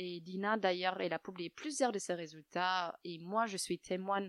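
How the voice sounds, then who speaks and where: A woman with fairly low pitch speaks at a moderate pace. The sound is dry and close with no echo, in a very clean recording with a silent background. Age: young. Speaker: yoga teacher. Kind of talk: interview. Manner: soft-spoken.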